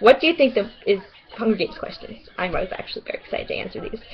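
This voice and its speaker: A woman speaks in a New York accent with an animated tone and a fairly high pitch. Noticeable background noise sits behind her. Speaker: vlogger. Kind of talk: casual webcam vlog.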